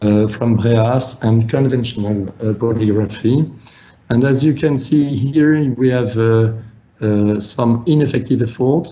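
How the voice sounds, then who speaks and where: With audible room echo, a man of medium pitch talks at a fairly slow pace, keeping very even loudness and fairly even intonation. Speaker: physician presenter. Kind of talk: webinar lecture. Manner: halting, many fillers.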